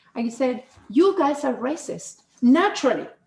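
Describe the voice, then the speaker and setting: A woman in a Spanish accent with lively intonation and a moderate pace. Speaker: podcast host. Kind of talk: casual chat.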